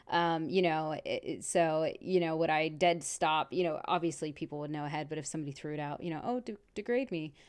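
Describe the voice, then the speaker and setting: A woman's very deep, low voice with a Texan accent, fairly quick and with hardly any pauses, over a quiet background. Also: ordinary pitch variation. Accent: Texan Southern US. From Texas. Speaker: podcast host. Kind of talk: casual chat.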